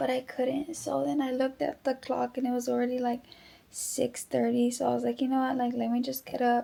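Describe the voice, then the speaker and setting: Quiet and at very even loudness, a woman talks at a fairly quick pace. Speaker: fitness vlogger, bodybuilding competitor. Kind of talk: vlog talking to camera. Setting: at home.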